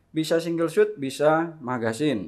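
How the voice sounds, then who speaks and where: Speech comes at a fairly slow pace. The background is quiet. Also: man. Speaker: air rifle shop salesman and video host. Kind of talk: sales pitch. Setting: shop showroom with rifles on display. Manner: upbeat, fluent salesman patter; rattles off models and prices briskly. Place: shop. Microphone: lapel.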